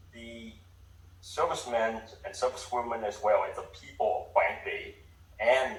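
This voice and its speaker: Speaking at a fairly slow pace, a man's voice carries audible room echo. Noticeable background noise is also present. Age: 80s+. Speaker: public commenter at city council meeting. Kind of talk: public comment speech. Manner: halting, many fillers and restarts.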